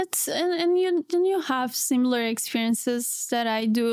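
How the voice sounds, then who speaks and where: A woman with a Portuguese accent and high pitch, in a very clean recording, silent background. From Brazil. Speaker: PhD student. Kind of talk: casual chat.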